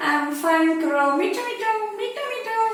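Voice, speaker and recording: Amid strong echo, a squeaky, put-on character voice at an extremely high pitch goes at a moderate pace. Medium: read story.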